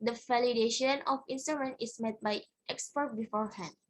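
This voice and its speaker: A woman speaks at a fairly quick pace with an Indonesian accent. Her pitch varies in an ordinary way. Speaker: student presenting research. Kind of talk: conference presentation. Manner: halting.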